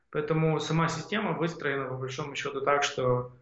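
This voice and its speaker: At a moderate pace, a man talks in a space with audible room echo. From Ukraine, Odesa region (Bolhrad). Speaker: tech entrepreneur. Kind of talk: interview conversation.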